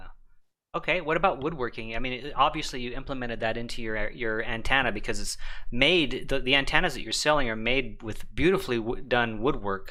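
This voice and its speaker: Audible room echo surrounds a man with a bright, sharp tone and medium pitch, who talks at a fairly quick pace with ordinary pitch variation. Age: 50s. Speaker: ham radio live stream host. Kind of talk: casual chat. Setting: live stream.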